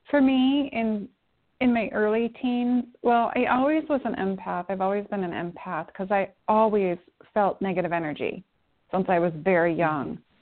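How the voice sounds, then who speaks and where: A woman has a plain, everyday voice at a medium pitch. She speaks at a moderate pace with lively intonation. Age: 50s. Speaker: spiritual teacher. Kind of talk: casual chat.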